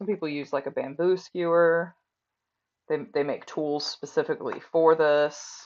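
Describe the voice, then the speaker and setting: The speech comes at a fairly slow pace. Words are mumbled. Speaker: crafter streaming sewing work. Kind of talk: live-stream tutorial. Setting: live stream at home workspace. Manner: mumbling; casual, conversational. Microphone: recorded with phone after headphone mic failed.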